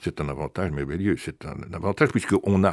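On a very clean recording with a silent background and a dry, close sound with no echo, a man with a very deep, low pitch and vocal fry speaks at a moderate pace with lively intonation. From Belgium. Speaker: author. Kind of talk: interview. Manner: halting, frequent repetitions.

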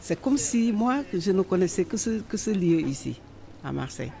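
Somewhat breathy and dark, mellow in tone, the voice moves at a moderate pace with very wide pitch swings. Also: woman. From Senegal. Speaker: immigrant woman interviewee. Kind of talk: personal testimony.

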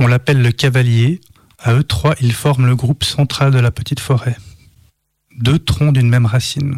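In a Swiss accent, the somewhat breathy voice keeps fairly even intonation and very even loudness, with long, frequent pauses and a dry, close sound with no echo. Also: man, medium pitch for a man, moderate pace. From Switzerland, Lausanne. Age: 30s. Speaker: poet. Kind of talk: poetry reading. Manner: halting.

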